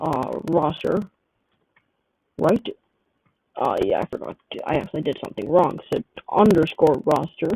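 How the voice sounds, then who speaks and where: A man speaks quietly at a moderate pace, with long, frequent pauses and vocal fry. His fairly high voice has a dark, mellow tone and ordinary pitch variation, and the sound is dry and close with no echo. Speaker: gaming livestreamer. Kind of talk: livestream commentary while playing. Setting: livestream. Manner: casual, rambling with fillers.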